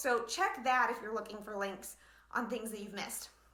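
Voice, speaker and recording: With audible room echo, a woman uses a raised, projected voice and a bright, sharp tone. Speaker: blogging business coach. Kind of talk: live online training. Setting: livestream from home living room. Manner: fast; animated.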